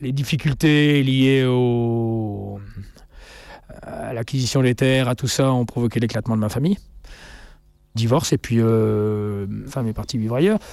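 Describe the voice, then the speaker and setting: A man talks at a fairly slow pace and a medium pitch. His pitch varies in an ordinary way, and he takes long, frequent pauses. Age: 50s. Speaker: farmer. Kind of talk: interview.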